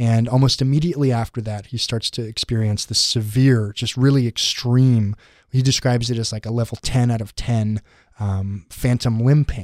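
An ordinary speaking voice from a man at medium pitch, fairly even in intonation, dry and close with no echo, in a very clean recording over a silent background. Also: moderate pace. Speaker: education reporter. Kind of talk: casual podcast chat.

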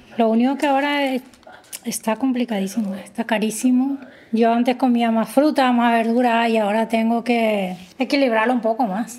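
Noticeable background noise surrounds a woman speaking with fairly even intonation. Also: fairly high pitch for a woman, moderate pace. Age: 50s. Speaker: domestic worker. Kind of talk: personal testimony interview. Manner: halting.

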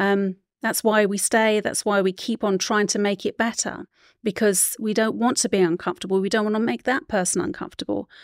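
A woman at medium pitch, talking at a fairly quick pace with ordinary pitch variation, in a dry, close sound with no echo and a very clean recording over a silent background. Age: 50s. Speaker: author and intuitive consultant. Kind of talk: interview testimony. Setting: studio. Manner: halting.

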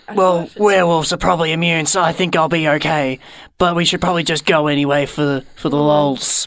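In a very clean recording with a silent background, a man uses a raspy, gravelly put-on character voice, fairly high in pitch, at a fairly quick pace. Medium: actual play. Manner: gruff, blunt, deadpan.

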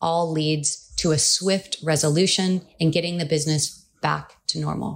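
On a very clean recording with a silent background, a woman with a Californian accent speaks in a monotone, flat intonation at fairly low pitch. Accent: Californian American. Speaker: cybersecurity lawyer. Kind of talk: professional podcast discussion.

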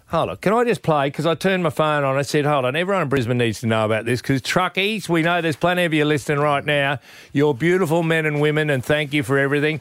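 Recorded very cleanly with a silent background, a man with a fairly high pitch rushes along at a very fast pace with hardly any pauses and very even loudness. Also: ordinary pitch variation. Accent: Australian. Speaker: radio host. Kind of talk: casual radio banter.

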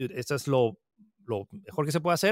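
In a dry, close sound with no echo, a man talks with ordinary pitch variation. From Peru. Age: 30s. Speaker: tech content creator. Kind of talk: interview.

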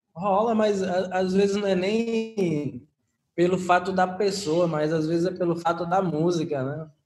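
A man speaks with a high pitch. His pace is fairly slow and his intonation fairly even. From Paulo Afonso, northern Bahia, Brazil. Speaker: musician, band member. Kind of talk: casual interview. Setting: remote recording. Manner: halting, many fillers.

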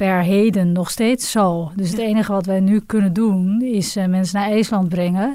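Fairly even in intonation, the woman's voice has a dark, mellow tone. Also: very clean recording, silent background. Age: 40s. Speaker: businesswoman, travel agency director. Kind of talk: interview.

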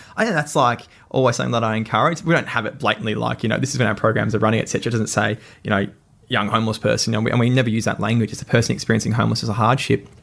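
A man's very fast speech at medium pitch, with vocal fry and ordinary pitch variation. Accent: Australian. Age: 20s. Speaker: social enterprise CEO. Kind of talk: interview.

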